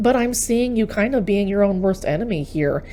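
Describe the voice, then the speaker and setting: With an American accent, a woman talks at a medium pitch with ordinary pitch variation amid noticeable background noise. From Texas. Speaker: tarot reader. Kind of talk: tarot reading monologue. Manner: animated.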